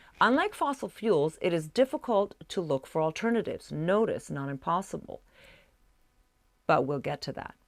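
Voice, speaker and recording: Delivered at a moderate pace, the voice moves through very wide pitch swings. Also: woman. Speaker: fake news anchor. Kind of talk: satirical news broadcast, newsreader delivery.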